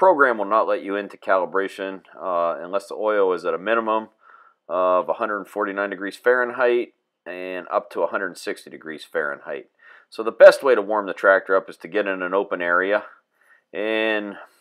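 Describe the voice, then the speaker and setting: A man at a moderate pace, with big swings in loudness against a quiet background. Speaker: tractor technician. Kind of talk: tutorial. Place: farm machine. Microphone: camera far.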